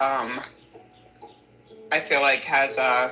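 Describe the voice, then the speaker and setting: Noticeable background noise fills the recording. Through it, a woman talks very slowly. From Philadelphia. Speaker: caller getting a reading. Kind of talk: casual chat.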